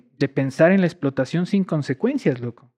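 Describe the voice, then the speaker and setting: In a Quito accent, a man speaks with lively intonation and a fairly high pitch. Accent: Quito Ecuadorian Spanish. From Ecuador, Quito. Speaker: scientist and environmental activist. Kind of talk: casual interview.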